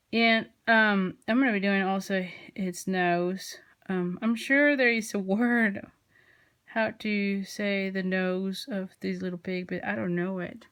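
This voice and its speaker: Very slow speech in a very clean recording with a silent background. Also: woman. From Mexico. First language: Spanish. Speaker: craft tutorial creator. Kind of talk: tutorial. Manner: casual, hesitant with fillers.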